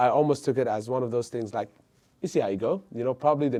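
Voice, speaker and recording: Dark and mellow in tone, the voice moves through ordinary pitch variation. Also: man. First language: not English. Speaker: entrepreneur. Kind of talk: casual interview.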